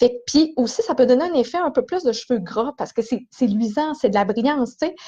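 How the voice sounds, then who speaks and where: A woman speaks in a high voice with a Quebec accent. Her pace is fairly quick and her intonation lively. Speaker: hairdresser. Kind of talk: live stream tutorial. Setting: small esthetics cabin in salon. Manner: fast; casual.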